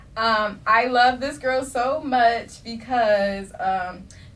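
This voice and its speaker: Audible room echo and noticeable background noise fill this recording. The woman's tone is animated. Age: young. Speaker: podcast host. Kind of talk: casual chat.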